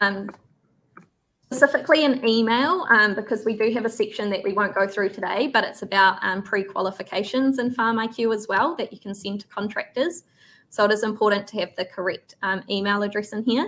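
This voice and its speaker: With a New Zealand accent, a woman talks at a fairly quick pace in a fairly high pitch with ordinary pitch variation. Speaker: farm software trainer. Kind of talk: software tutorial webinar. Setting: online webinar.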